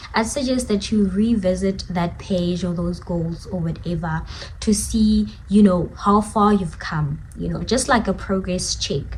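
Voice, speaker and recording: A woman talks at a fairly slow pace with hardly any pauses. Noticeable background noise is present. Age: 20s. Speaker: content creator. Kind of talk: casual talk to camera. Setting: living room.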